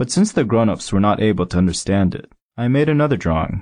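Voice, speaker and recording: A man talks with lively intonation at a medium pitch. He has an unremarkable speaking voice. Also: quiet background. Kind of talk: audiobook reading aloud of a literary story, first-person narration. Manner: measured, storytelling pace with expressive, slightly wry narration.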